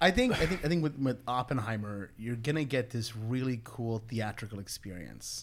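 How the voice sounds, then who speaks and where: An ordinary speaking voice from a man at medium pitch, moderate in pace with hardly any pauses and ordinary pitch variation. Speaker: film podcast co-host. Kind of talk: casual chat.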